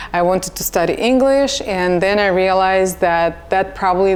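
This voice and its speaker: A woman with a Russian accent speaks at a medium pitch. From Russia, Samara. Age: 40s. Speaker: nurse. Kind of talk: casual chat.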